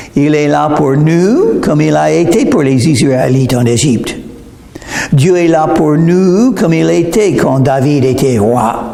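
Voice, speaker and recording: Amid audible room echo and noticeable background noise, a man speaks very slowly at a fairly high pitch, with lively intonation and very even loudness. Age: 70s. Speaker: preacher. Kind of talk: sermon.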